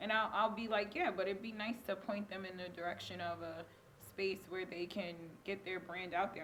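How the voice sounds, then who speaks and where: A woman speaks fairly quickly in a monotone, flat way, with noticeable background noise behind her. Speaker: talk show host. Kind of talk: casual interview.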